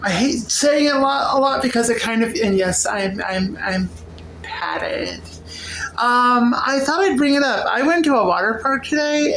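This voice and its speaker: Noticeable background noise and audible room echo surround speech that moves at a fairly slow pace, with lively intonation and very even loudness. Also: woman. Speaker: vlogger. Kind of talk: casual vlog monologue. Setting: at home cooking. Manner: halting; slurred at times.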